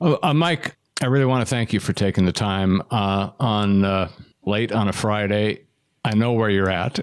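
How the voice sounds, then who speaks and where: This unremarkable speaking voice moves at a moderate pace with ordinary pitch variation and very even loudness, on a very clean recording with a silent background. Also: man, fairly low pitch for a man. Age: middle-aged. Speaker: podcast host. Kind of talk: interview.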